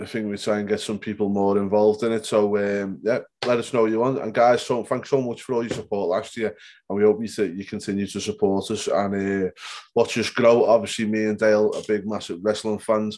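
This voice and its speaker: Over a quiet background, a man speaks at a fairly quick pace in a fairly low voice with monotone, flat intonation. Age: 30s. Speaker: wrestling podcast host. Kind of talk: casual chat. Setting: home bedroom.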